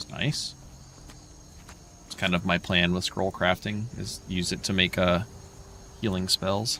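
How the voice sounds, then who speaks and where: This man speaks at a fairly slow pace in a very deep, low pitch, his tone bright and sharp and his pitch varying in an ordinary way. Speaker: video game streamer. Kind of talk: livestream gameplay commentary. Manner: casual; quiet.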